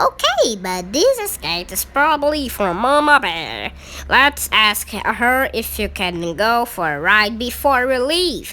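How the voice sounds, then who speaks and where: Putting on a character voice, a woman speaks at a fairly high pitch and a fairly slow pace over light background noise. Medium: read story.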